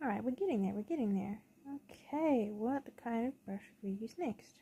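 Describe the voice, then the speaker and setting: At a moderate pace, a woman with a fairly high pitch and a dark, mellow tone speaks with lively intonation and a somewhat breathy quality. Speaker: digital artist streamer. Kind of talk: casual painting commentary. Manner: halting.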